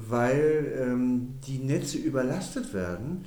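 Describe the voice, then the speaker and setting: There is audible room echo around this man's dark, mellow tone. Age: 60s. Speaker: energy company managing director. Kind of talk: interview. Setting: office.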